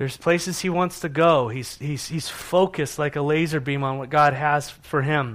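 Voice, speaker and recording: A man with a plain, everyday voice speaks at a fairly high pitch. His pace is moderate, with fairly even intonation and hardly any pauses. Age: 40s. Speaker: pastor. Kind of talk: sermon.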